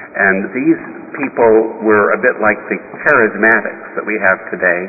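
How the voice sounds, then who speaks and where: A man's fairly low voice amid noticeable background noise. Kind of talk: sermon. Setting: church. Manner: formal, earnest, measured pulpit delivery; admonishing, grave about the church's troubles.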